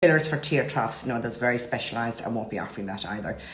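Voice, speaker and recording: A woman with a Cork accent talks very fast, with ordinary pitch variation. Room echo is audible. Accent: Irish (Cork). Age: 50s. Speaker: nurse and cosmetic injector. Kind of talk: informal talk to camera about services. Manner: casual, hesitant with many fillers.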